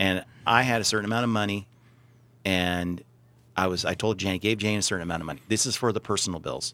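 On a very clean recording with a silent background, a man with a fairly low pitch and a bright, sharp tone speaks at a very fast pace with fairly even intonation. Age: 40s. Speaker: radio host and small business owner. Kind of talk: casual chat.

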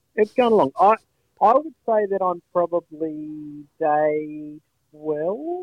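A man with an Australian accent, high in pitch, at a very slow pace with ordinary pitch variation. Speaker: podcast co-host. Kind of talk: casual chat. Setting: phone call.

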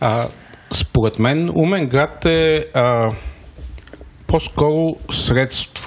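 A man talks at a very slow pace with long, frequent pauses. His medium-pitched voice has lively intonation. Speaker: startup founder. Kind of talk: interview.

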